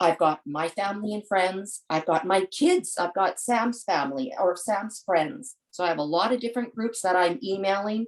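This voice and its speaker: A woman with a plain, everyday voice speaks at a moderate pace and medium pitch. Her intonation is lively, with hardly any pauses. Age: 60s. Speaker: charity fundraiser, parent of patient. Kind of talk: webinar panel talk.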